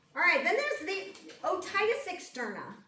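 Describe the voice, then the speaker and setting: Noticeable background noise and audible room echo accompany a woman speaking at a moderate pace with very wide pitch swings. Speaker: nursing instructor. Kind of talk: lecture. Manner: loud.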